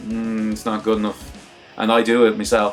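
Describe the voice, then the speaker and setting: There is music in the background as a man speaks with a fairly low pitch. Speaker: fighting game commentator and video maker. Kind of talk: casual talk to camera, advice tutorial. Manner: conversational, candid.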